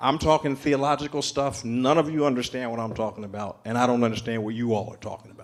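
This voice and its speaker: Talking at a very fast pace in an American accent, a man uses ordinary pitch variation. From Philadelphia. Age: 60s. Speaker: pastor. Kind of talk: panel discussion storytelling.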